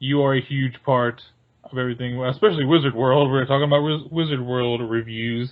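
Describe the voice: A man at medium pitch, fairly even intonation, fairly quick pace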